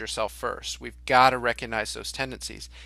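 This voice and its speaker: With vocal fry and an American accent, a man speaks at a fairly quick pace on a very clean recording with a silent background. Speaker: leadership organization executive. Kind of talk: interview. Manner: loud.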